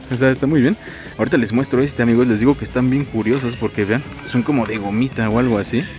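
A man at a very fast pace, dry sound with no echo, faint music in the background. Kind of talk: casual vlog chat. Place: shop. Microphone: phone near.

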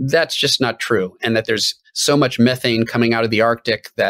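The background stays quiet as a man talks. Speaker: guest. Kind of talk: interview answer. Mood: earnest, explanatory. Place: home room.

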